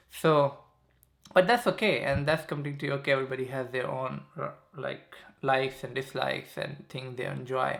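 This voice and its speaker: A man speaks at a moderate pace. He has a Pakistani accent. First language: Saraiki. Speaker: YouTuber. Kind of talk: casual vlog monologue. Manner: halting, filler-heavy.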